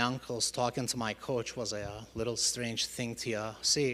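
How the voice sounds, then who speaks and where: This man, with a Turkish accent, speaks at a moderate pace in a monotone, flat intonation. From Turkey. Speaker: church member giving testimony. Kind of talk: testimony. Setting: church congregation. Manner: halting, many fillers.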